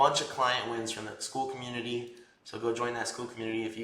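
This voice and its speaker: Over noticeable background noise and audible room echo, a man talks at a very fast pace at medium pitch with monotone, flat intonation. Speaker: tattoo artist and business mentor. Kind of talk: casual vlog talk to camera; casual group call coaching. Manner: casual, filler-heavy.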